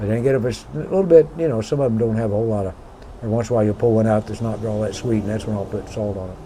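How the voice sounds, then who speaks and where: The speech moves at a very fast pace with ordinary pitch variation. Noticeable background noise is present. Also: man, fairly low pitch for a man. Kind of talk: casual chat.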